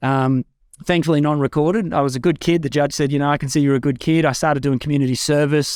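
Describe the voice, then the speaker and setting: A man talking at a very fast pace in a fairly high pitch, with fairly even intonation, in a very clean recording with a silent background and a dry, close sound with no echo. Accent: Australian. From Australia, Far North Queensland. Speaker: podcast host, spiritual community guest. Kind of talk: interview, personal life story.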